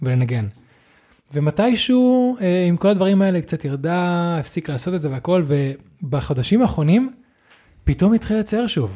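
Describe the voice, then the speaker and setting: A very clean recording with a silent background of a man at a moderate pace, his fairly high pitch making very wide swings. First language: not Hebrew (speaking Hebrew). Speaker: podcast co-host. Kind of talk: casual chat.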